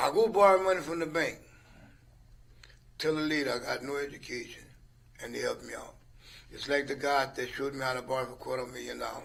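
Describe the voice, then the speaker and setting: Speaking at a very fast pace, a man leaves long, frequent pauses, his loudness swinging widely and his pitch varying in an ordinary way. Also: fairly high pitch for a man. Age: 70s. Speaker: retired business owner. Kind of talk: casual chat.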